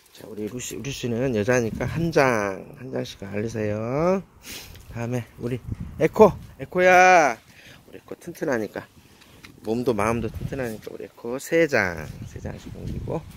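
Against light background noise in a dry sound with no echo, a man speaks at a fairly slow pace with lively intonation, big swings in loudness and long, frequent pauses. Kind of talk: casual vlog chat. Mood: playful, laughing. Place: garden. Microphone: phone near.

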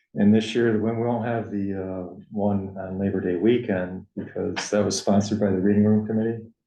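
A man's fairly low voice, dark and mellow in tone, at a fairly quick pace in a monotone, flat intonation, with audible room echo. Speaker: town first selectman chairing board meeting. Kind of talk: town board meeting discussion.

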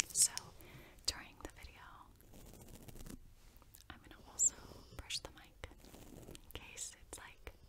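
The voice is a woman's whisper. She keeps a fairly slow pace. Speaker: ASMR creator. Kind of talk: ASMR movie review. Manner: casual, chatty. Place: home room. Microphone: studio mic.

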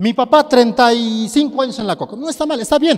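Speaking at a fairly slow pace in an animated tone, a man is heard against a quiet background. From Bolivia, tropical lowlands. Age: 30s. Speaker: network marketing motivational speaker. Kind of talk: motivational talk to an audience. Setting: stage with audience. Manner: animated, rhetorical questions to audience. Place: hall. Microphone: handheld.

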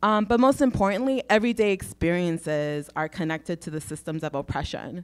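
A woman speaks at a fairly quick pace with lively intonation. The background is quiet. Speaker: labor organizer; panelist. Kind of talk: panel discussion. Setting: stage with audience. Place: hall. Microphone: handheld.

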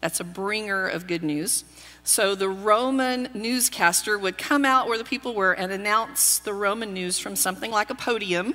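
Fairly slow speech with a slight Texas accent, faint music in the background. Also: woman. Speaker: pastor. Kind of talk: sermon. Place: church.

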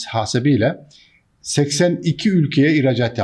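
This man's voice rises and falls with ordinary pitch variation. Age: 60s. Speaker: businessman. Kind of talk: monologue to camera. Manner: frequent hesitations.

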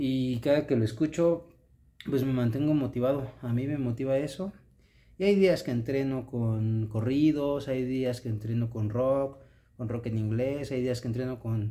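With a Mexican accent, a man talks at a fairly slow pace in a dark, mellow tone with ordinary pitch variation. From Mexico. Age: 30s. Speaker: vlogger. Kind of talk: casual vlog monologue. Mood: earnest, motivational. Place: home room. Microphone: phone near.

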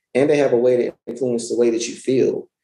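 Speaking at a moderate pace, a man has a medium pitch and a dark, mellow tone, with audible room echo around him. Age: 30s. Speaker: self-published author; guest. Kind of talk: interview conversation. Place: home room. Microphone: webcam.

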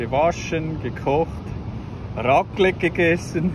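There is noticeable background noise. The sound is dry with no echo. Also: man. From Switzerland, Zurich; Switzerland. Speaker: travel vlogger. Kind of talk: travel vlog narration. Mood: cheerful.

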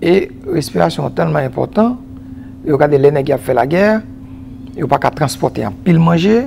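A man speaks at a moderate pace in a fairly high voice, his pitch swinging very widely, with long, frequent pauses and light background noise. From Haiti. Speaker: agronomist and environmental specialist; guest. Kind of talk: TV interview. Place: studio. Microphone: lapel.

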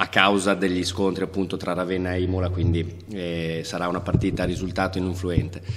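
Fairly quick and monotone, a man talks with a very deep, low pitch and flat intonation. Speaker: assistant basketball coach. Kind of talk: press conference statement. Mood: calm, analytical. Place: hall. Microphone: podium.

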